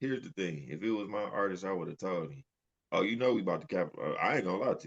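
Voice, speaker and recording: A man with a fairly low voice rattles off his words at a very fast pace. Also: lively intonation. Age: 30s. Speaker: podcast co-host. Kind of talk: casual chat.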